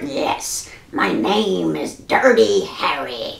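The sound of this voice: A put-on character voice delivers the lines at a very slow pace.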